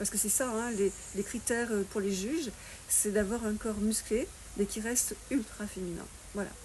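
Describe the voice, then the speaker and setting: Long, frequent pauses break up a woman's speech at a moderate pace. Her voice is fairly high, with fairly even intonation. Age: 60s. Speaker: fitness and nutrition coach. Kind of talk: interview. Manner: hesitant with fillers.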